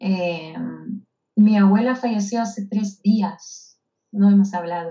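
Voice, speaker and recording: A woman's somewhat breathy voice at a medium pitch, very slow, with fairly even intonation and long, frequent pauses. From Israel. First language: Hebrew (speaking Spanish). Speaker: speaker and author. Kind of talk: interview.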